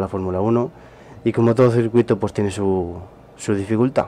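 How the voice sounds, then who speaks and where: Fairly low pitch from a man, with a dark, mellow tone, fairly even intonation and a moderate pace. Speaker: gaming youtuber. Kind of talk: gameplay commentary. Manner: casual, hesitant with repetitions.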